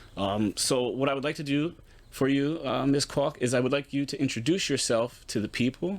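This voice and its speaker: With an American accent and an unremarkable speaking voice, a man of medium pitch talks at a moderate pace with ordinary pitch variation. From Pittsburgh, Pennsylvania. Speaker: podcast host. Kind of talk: podcast interview.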